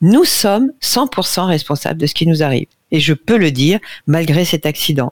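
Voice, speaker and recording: A woman's fairly low voice with lively intonation, very even loudness, a moderate pace, and a dry, close sound with no echo. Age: 60s. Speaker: nutrition radio columnist. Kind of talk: casual chat.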